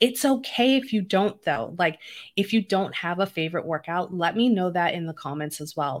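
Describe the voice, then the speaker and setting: With an unremarkable speaking voice, a woman speaks at a medium pitch and moderate pace with lively intonation, in a very clean recording with a silent background. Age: 40s. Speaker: podcast host and diabetes health coach. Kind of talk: solo podcast monologue. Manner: conversational.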